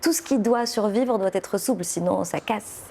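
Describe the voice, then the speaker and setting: A woman with a Moroccan accent talks at a moderate pace in a dark, mellow tone with ordinary pitch variation. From Morocco. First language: Moroccan Arabic (speaking French). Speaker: poet and novelist. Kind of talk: interview. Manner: hesitant, many fillers.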